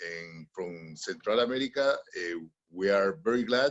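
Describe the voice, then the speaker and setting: Speaking at a fairly slow pace, this is a man. He has a Spanish accent. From Honduras. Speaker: panelist. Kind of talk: webinar panel remarks. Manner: halting.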